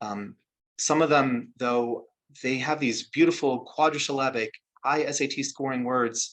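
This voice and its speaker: A man with a plain, everyday voice speaks at a fairly slow pace, his medium pitch and fairly even intonation set against a quiet background. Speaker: spoken word artist. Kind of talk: talk to an audience about his craft.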